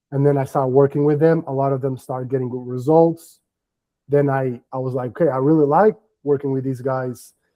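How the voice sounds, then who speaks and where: With a Portuguese accent, a man talks fairly quickly at a fairly high pitch. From Portugal. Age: 30s. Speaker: business development coach. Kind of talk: live workshop interview.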